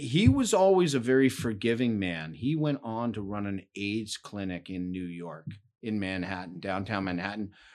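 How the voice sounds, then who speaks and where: A man speaks with a Canadian accent at a fairly low pitch. The background is quiet. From Hamilton, Ontario, Canada. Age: 60s. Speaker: retired worker, barbershop bar regular. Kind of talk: interview conversation. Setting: basement recording room.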